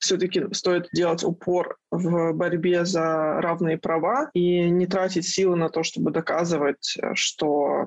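With fairly even intonation, a woman talks at a very slow pace. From Dagestan, Makhachkala. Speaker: art director and feminist blogger. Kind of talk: casual interview chat.

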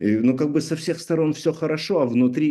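The man's voice has a dark, mellow tone. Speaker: author of a therapeutic art method, artist. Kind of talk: interview.

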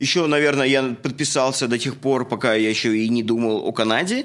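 Speaking at a fairly quick pace with ordinary pitch variation, a man uses a normal speaking voice. The recording is very clean, the background silent. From Russia. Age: 30s. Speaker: podcast host, construction worker and photographer. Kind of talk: casual chat, podcast introduction. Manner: informal, friendly, chatty.

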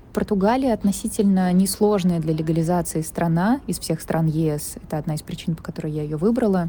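A woman's voice sits fairly low in pitch. Noticeable background noise is present. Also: ordinary pitch variation, fairly quick pace. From Russia, Saint Petersburg. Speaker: film producer. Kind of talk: recorded audio letter.

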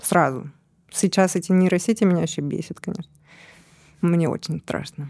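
The woman's voice is fairly low, with a dark, mellow tone. She speaks at a moderate pace with ordinary pitch variation and long, frequent pauses. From Siberia, Russia. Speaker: producer. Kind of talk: casual chat.

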